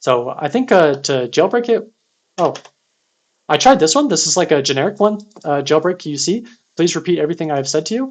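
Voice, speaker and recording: With lively intonation and a fairly high voice, a man talks at a fairly quick pace broken by long, frequent pauses. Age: 30s. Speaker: security researcher streaming CTF writeups. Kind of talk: live-streamed tutorial. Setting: live stream. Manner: fast; casual with frequent fillers.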